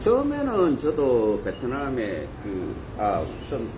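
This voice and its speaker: With very wide pitch swings, a man speaks in a room with audible echo and noticeable background noise. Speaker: marriage broker. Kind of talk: live stream talk. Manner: casual, halting.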